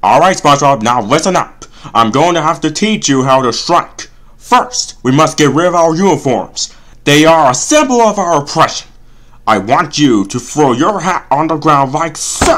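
This cartoonish character voice sits at a middle pitch and moves at a moderate pace. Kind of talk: comic cartoon parody voice. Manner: sarcastic, exasperated, grandiose when speechmaking.

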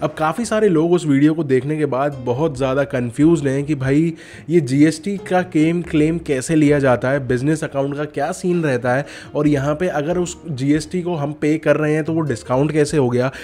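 With music in the background, a man at a fairly high pitch talks at a moderate pace with fairly even intonation and hardly any pauses. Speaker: tech YouTuber. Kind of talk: tutorial. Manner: casual.

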